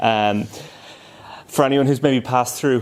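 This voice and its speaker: A man with an Irish accent and ordinary pitch variation. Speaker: tech company solution engineering lead. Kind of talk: conference presentation. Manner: fast.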